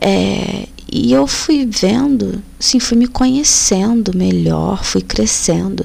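With noticeable background noise behind her, a woman speaks at a very slow pace and very even loudness. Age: 30s. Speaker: podcast host. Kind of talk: personal monologue.

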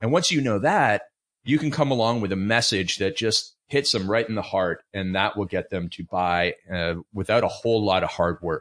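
Over a quiet background, a man with a Canadian accent speaks in an unremarkable speaking voice at a moderate pace. His pitch is fairly low and his intonation lively. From Canada. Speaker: fitness coach and author. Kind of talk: interview.

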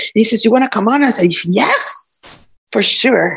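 A woman speaks at a fairly slow pace with fairly high pitch, very wide pitch swings and vocal fry. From Cuba. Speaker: show co-host. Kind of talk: casual chat. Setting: video call.

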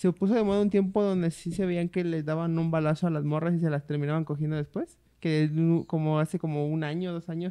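A man with a high pitch and a dark, mellow tone, at a fairly quick pace with fairly even intonation and a dry, close sound without echo. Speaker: podcast co-host. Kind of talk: casual chat.

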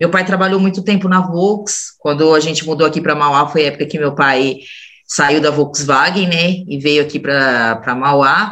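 This woman's pitch is very deep and low. Her pitch variation is ordinary. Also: moderate pace. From São Bernardo do Campo, São Paulo state, Brazil. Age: 40s. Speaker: podcast co-host. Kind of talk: casual chat.

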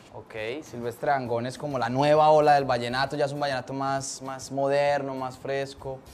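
A man talks in a monotone, flat intonation at a fairly high pitch, with hardly any pauses. Noticeable background noise can be heard. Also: moderate pace. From Colombia, Antioquia (near Medellín). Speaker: comedian. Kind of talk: casual chat.

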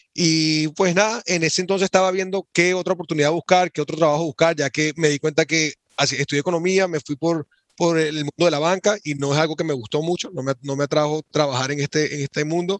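A man with a fairly high pitch and a plain, everyday voice talks at a fairly quick pace with fairly even intonation. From Venezuela. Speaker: e-commerce entrepreneur. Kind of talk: podcast interview.

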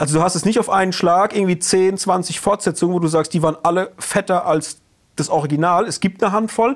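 Here a man speaks at a fairly quick pace in a high voice. His intonation is fairly even. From Palatinate, Germany. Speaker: podcast co-host. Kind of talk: casual chat.

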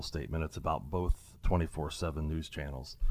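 With a Midwestern American accent, the speaker moves at a fairly quick pace, with ordinary pitch variation and vocal fry. The recording is very clean, with a silent background. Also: man. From Ohio, US Midwest. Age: 60s. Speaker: restaurant owner. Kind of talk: casual interview. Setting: studio.

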